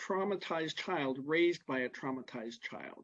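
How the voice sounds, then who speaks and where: A man speaks at a fairly high pitch with ordinary pitch variation. He has a plain, everyday voice. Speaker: early childhood educator, presenter. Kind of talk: lecture.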